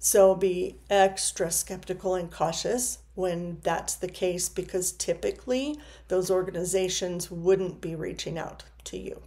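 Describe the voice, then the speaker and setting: A woman speaks fairly slowly with hardly any pauses, her medium-pitched voice dark and mellow, carrying vocal fry, fairly even intonation and big swings in loudness. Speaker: counselor. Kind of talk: informational video talk to camera. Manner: some stumbling and filler words.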